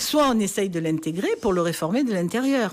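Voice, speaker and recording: Her pitch swinging very widely, a woman speaks at a fairly quick pace through noticeable background noise. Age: 60s. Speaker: politician, party president. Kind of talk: radio interview.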